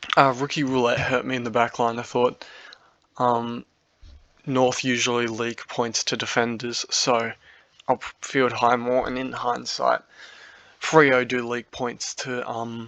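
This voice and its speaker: Here is a man with an Australian accent and a medium pitch, speaking fairly slowly. His intonation is flat and monotone, with long, frequent pauses. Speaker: fantasy football youtuber. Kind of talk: casual monologue review. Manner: hesitant, many fillers.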